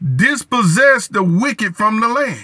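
Raised, projected male voice at an extremely high pitch, bright and sharp in tone. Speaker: preacher leading prayer. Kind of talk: fervent prayer, repetitive 'Lord' cadence, pleading and declaring. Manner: intense, earnest, rhythmic, impassioned.

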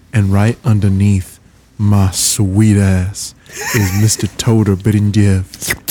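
With a dark, mellow tone, a man speaks at a very slow pace in a monotone, flat intonation and very even loudness. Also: fairly low pitch for a man. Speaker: podcast host.

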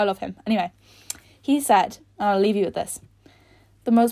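An animated woman's voice with an Irish accent, in a very clean recording against a silent background. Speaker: podcast host. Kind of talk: casual monologue. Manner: fast.

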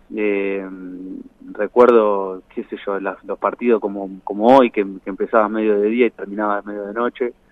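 A man speaks at a moderate pace in a monotone with flat intonation and a fairly low pitch. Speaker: former footballer. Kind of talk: phone interview.

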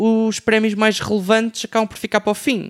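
Dry and close with no echo, a man talks at a fairly quick pace on a very clean recording with a silent background. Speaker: music writer. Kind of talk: panel discussion. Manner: halting, many fillers.

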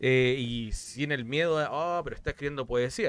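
This is a man talking. His pace is very fast. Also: dry, close sound with no echo. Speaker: podcast co-host. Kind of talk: casual chat.

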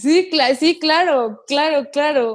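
At a very slow pace, a woman with a high pitch speaks with ordinary pitch variation. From northeastern Mexico (Mante, Tamaulipas). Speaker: singer-songwriter. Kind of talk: casual interview.

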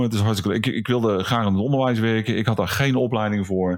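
A man's plain, everyday voice, medium in pitch with ordinary pitch variation, in a very clean recording with a silent background. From Netherlands, Brabant. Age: 50s. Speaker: vocational school teacher and photographer. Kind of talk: casual chat.

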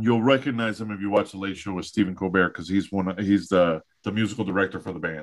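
A man with a fairly low pitch rushes along at a very fast pace with hardly any pauses, keeping his intonation fairly even while his loudness swings widely. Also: quiet background. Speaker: podcast host. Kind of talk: casual chat.

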